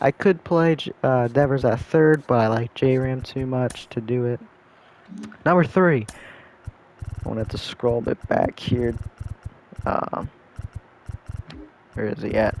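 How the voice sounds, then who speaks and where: Over noticeable background noise, a man at medium pitch speaks at a fairly slow pace with long, frequent pauses. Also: ordinary pitch variation. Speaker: video game content creator. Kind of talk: gameplay commentary. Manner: hesitant, many fillers and stutters.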